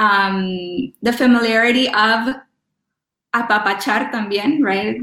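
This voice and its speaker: Her pitch is medium for a woman, and she speaks at a fairly slow pace with fairly even intonation. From Los Angeles, US. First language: Spanish. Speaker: professor and scholar in residence. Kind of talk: interview with testimony. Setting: remote call from Rome.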